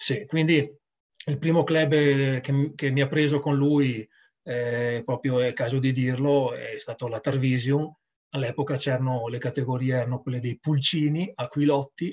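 Against a quiet background, a man speaks at a fairly slow pace in a fairly high, somewhat breathy voice. His intonation stays fairly even. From Treviso, Italy; Italy. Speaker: rugby sports director, former player; guest. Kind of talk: casual interview. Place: home room. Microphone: video call.

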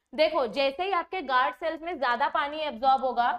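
Speaking at a fairly slow pace, a woman uses lively intonation in a high pitch. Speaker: biology teacher. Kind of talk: lecture. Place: studio.

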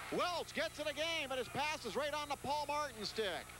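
In a raised, projected voice, a man speaks at an extremely high pitch and a fairly slow pace. The sound is dry with no echo, with light background noise. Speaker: play-by-play announcer. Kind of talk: live sports commentary.

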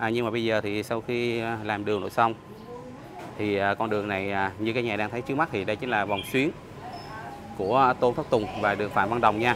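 A man talks at a very fast pace yet with long, frequent pauses. His voice is fairly low with fairly even intonation, over noticeable background noise. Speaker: travel vlogger; travel food vlogger. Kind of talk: casual vlog narration with street interviews. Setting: outdoors on location. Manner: friendly, conversational. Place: street. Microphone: phone near.

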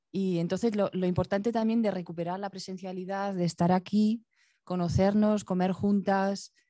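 A normal speaking voice from a woman at medium pitch, moderate pace and fairly even intonation, with a quiet background and dry sound with no echo. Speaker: visual artist; guest. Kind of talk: Q&A answers after a performance. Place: stage. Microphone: handheld.

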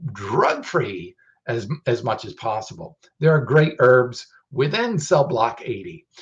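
Here a man speaks very slowly in a fairly high, somewhat breathy voice. The background is quiet. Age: 50s. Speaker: supplement company founder and host. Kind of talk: educational livestream talk. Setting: livestream video. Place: home room. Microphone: webcam.

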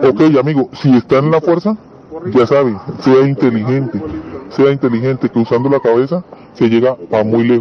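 Noticeable background noise sits behind a man's voice. He talks at a moderate pace with very even loudness. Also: medium pitch for a man, ordinary pitch variation. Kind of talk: casual explanation.

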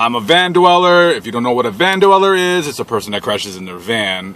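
A man talks at a moderate pace, the sound dry with no echo. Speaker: van dweller vlogger. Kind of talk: casual vlog chat. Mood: blunt, irritated, opinionated. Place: car.

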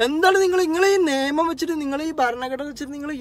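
A man speaks in an animated tone. The sound is dry, with no echo. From Kerala. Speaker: social media commentator. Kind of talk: political monologue to camera. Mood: angry protest. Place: car. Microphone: phone near.

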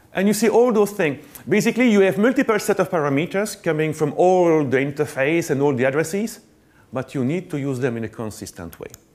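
Here a man talks at a fairly quick pace. His fairly high voice swings very widely in pitch. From Belgium. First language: French. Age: middle-aged. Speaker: network engineer, conference speaker; conference speaker. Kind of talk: conference talk. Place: stage. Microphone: lapel.

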